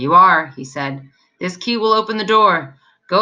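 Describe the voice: Against a quiet background, the text is read aloud plainly with lively intonation.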